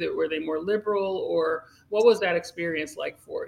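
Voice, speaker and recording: Using a normal speaking voice, a woman with an American accent talks at a moderate pace and a medium pitch. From Long Island, New York. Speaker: cannabis attorney and podcast host. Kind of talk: interview.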